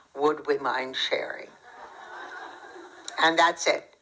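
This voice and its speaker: A woman speaks slowly-ish at a fairly low pitch with fairly even intonation. Noticeable background noise is present throughout. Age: 90s. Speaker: Holocaust survivor. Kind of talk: testimony Q&A.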